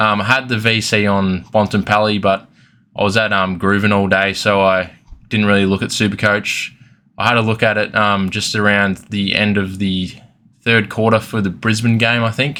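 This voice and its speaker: In an Australian accent, a man speaks with a bright, sharp tone and monotone, flat intonation on a very clean recording with a silent background. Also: fairly low pitch for a man, moderate pace. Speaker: fantasy football youtuber. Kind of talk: casual review vlog. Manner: hesitant with many fillers.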